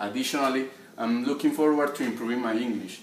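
With audible room echo and light background noise, a man talks at a fairly quick pace with a Colombian accent. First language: Spanish. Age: 20s. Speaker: job applicant. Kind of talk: application video talk to camera. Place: home room.

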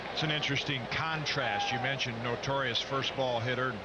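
Through loud background noise, a man speaks at a moderate pace, the sound dry with no echo. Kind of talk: live sports commentary, analysis between pitches.

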